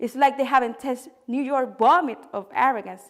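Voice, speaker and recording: At a moderate pace, a woman talks with a Spanish accent. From Dominican Republic. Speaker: poet. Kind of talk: spoken word poetry reading.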